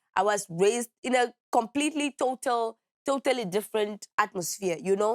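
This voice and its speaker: In a Namibian accent, a woman speaks at a moderate pace with a fairly high pitch and ordinary pitch variation, the sound dry and close with no echo. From Namibia, Walvis Bay. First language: Oshikwanyama. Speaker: musician and activist. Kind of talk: interview. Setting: studio.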